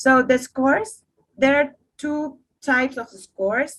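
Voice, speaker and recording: Woman with a Spanish accent at a fairly slow pace. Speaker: coffee competition judge. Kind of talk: online workshop. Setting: video call. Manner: halting, repeats words.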